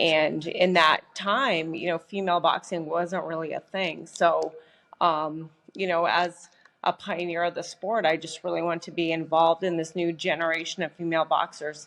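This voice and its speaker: A woman with a Canadian Prairies accent, fairly low pitch and monotone, flat intonation. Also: moderate pace. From Canada, Saskatchewan. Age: 40s. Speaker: professional boxer. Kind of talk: podcast interview.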